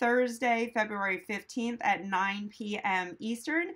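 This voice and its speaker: Spoken at a very slow pace with ordinary pitch variation, the voice sits against a quiet background. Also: woman. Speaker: veterinarian host. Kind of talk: live stream Q&A chat. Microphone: phone near.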